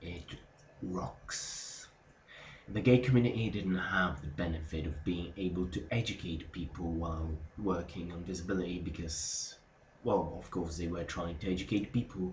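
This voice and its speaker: Audible room echo surrounds a quiet, somewhat breathy man with a very deep, low pitch. He talks at a moderate pace with ordinary pitch variation. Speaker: vlogger. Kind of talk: casual vlog monologue. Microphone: sound quality may be a bit bad.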